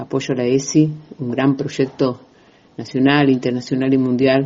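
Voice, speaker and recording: A man speaks at a fairly slow pace. His medium-pitched voice stays monotone and flat. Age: 60s. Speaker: feminist activist. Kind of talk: recorded testimony. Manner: hesitant, many fillers.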